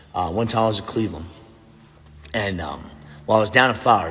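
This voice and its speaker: A man's very fast, animated delivery with ordinary pitch variation and audible room echo. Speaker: former pro football player and youth coach. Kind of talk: casual vlog monologue. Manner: loud.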